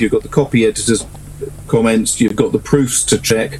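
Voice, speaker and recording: Noticeable background noise sits behind a man talking at a very fast pace. His pitch is medium. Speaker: author. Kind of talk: casual chat.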